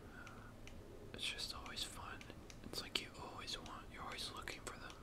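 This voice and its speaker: Moderate pace against loud background noise. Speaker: gamer. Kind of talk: casual gaming commentary, ASMR-style talk to camera.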